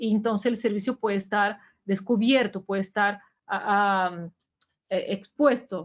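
A woman speaks with a Brazilian accent at a medium pitch. Her pace is fairly slow and her intonation fairly even. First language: Portuguese (speaking Spanish). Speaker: sales manager at a security vendor. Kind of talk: webinar presentation. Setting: webinar video call.

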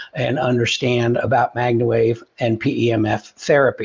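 With a quiet background, a man speaks at a moderate pace in a somewhat breathy voice and a monotone, flat intonation. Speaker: company head hosting a live Q&A. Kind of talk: live stream host talk. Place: home room.

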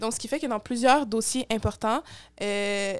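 Against a quiet background, a woman with a Quebec accent talks at a moderate pace, her fairly high pitch following a fairly even intonation. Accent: Québécois. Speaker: youth political activist; podcast guest. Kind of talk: interview. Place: home room. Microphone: studio mic.

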